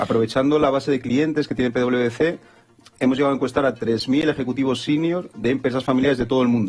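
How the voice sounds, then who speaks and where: Over music in the background, a man with a Spanish accent talks at a very fast pace and medium pitch, with very even loudness and fairly even intonation. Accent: Spanish (Spain). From Spain. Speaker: business consultant. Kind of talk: TV business interview. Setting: studio.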